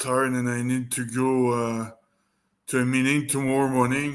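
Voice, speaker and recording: A man with a French accent has a bright, sharp tone, with audible room echo around him. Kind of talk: casual chat. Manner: slow.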